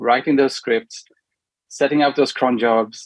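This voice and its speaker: The voice comes with a Swedish accent at a moderate pace. The sound is dry and close, with no echo. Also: man. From Sweden. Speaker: product manager. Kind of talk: casual interview. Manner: hesitant, many fillers.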